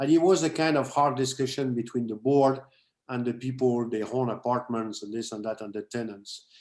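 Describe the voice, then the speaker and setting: In a French accent, a man speaks at a fairly quick pace with medium pitch and fairly even intonation. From France. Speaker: condo owner asking a question. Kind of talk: question from the floor at a meeting. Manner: halting.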